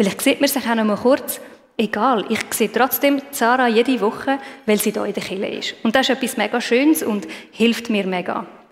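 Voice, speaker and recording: A woman talks at a moderate pace with a fairly high pitch and ordinary pitch variation. Noticeable background noise is heard throughout. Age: 30s. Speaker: lay preacher. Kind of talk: sermon.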